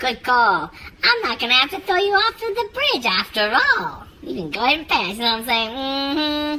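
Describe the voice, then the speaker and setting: A woman uses a put-on character voice. It sits high and has very wide pitch swings. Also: moderate pace. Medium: read story. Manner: casual, streetwise drawl.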